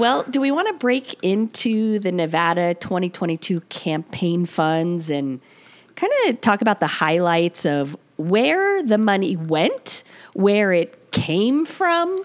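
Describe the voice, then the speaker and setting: A woman speaking very slowly with lively intonation. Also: medium pitch for a woman. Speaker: podcast host. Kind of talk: casual chat.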